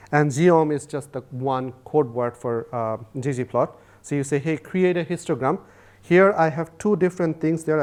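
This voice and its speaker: A man speaks at a fairly high pitch with a non-native accent and ordinary pitch variation. The background is quiet. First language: not English. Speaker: workshop instructor. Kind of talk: lecture.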